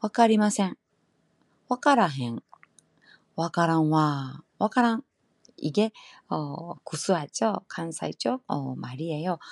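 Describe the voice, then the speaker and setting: Speaking very slowly with long, frequent pauses, a woman uses a fairly low voice with very wide pitch swings in a dry, close recording that is very clean with a silent background. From Kansai, Japan. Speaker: Japanese language teacher, podcaster. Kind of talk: casual language lesson monologue. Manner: switches between Japanese and Korean.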